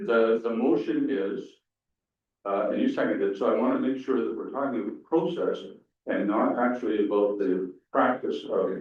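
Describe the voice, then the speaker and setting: A man speaks at a fairly slow pace. Audible room echo is present. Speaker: council chair. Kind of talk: council meeting.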